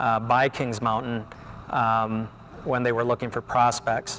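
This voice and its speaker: A man keeps a moderate pace while noticeable background noise runs beneath him. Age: 30s. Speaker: motorcycle dealer. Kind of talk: interview.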